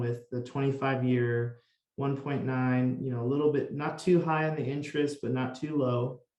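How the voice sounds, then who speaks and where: Fairly even in intonation and moderate in pace, this is an ordinary speaking voice. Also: man. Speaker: solar consultant. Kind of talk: interview explaining solar financing.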